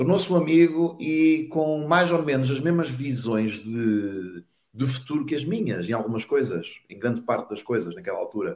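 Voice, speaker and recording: This man has a fairly high pitch and very wide pitch swings, with big swings in loudness at a moderate pace. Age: 50s. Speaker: network marketing entrepreneur. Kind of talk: interview, motivational talk.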